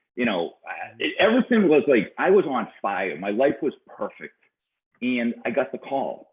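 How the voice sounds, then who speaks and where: A man with a strong Boston accent at a moderate pace. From Boston, Massachusetts. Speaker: business coach and serial entrepreneur. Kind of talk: interview conversation. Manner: halting, many repetitions and fillers.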